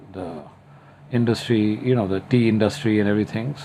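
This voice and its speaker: This man's pitch sits fairly low, his intonation fairly even, in an unremarkable speaking voice. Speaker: singer. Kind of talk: interview answer.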